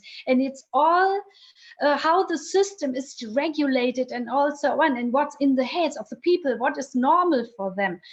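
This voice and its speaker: A woman's high-pitched voice with lively intonation and a German accent. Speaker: vocational training researcher. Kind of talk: interview. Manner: halting.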